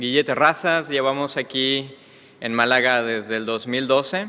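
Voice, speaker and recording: A man speaks at a medium pitch with a slight Mexican accent, while noticeable background noise and audible room echo fill the recording. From Mexico. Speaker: preacher. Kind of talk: sermon. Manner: hesitant with fillers.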